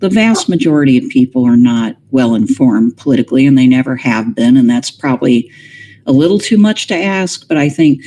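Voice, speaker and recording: A woman with an American accent, very deep and low in pitch, dark and mellow in tone, fairly quick in pace, with very wide pitch swings. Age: 60s. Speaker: political philosopher. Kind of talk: interview.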